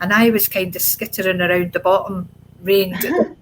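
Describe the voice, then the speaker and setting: A woman with a Scottish accent, medium pitch and moderate pace. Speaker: adoptee sharing her life story. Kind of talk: interview testimony.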